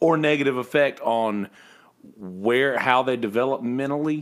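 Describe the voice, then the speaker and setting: The pitch of this man is medium. He keeps to a moderate pace. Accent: Southern US. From South Carolina, Bennettsville. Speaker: podcast host. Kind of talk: casual chat.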